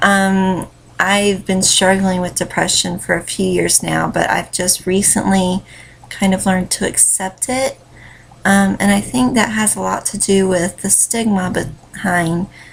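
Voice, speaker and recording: The speaker talks at a fairly slow pace with a Southern US accent and fairly even intonation. Noticeable background noise runs behind the voice. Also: woman, medium pitch for a woman. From US South, North Carolina. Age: 20s. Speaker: vlogger, stay-at-home mom and writer. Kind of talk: casual vlog monologue. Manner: rambling, many fillers.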